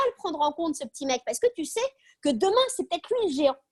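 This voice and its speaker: Recorded with a dry, close sound and no echo, a woman is speaking. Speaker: speaker on optimism. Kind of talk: video call talk. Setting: video call. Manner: fast.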